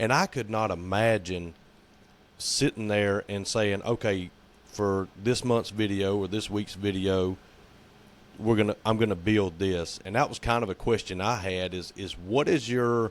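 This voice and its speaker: A man with a Southern US accent talks at a moderate pace, fairly low in pitch, with fairly even intonation. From US South. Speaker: podcast co-host. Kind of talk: casual chat.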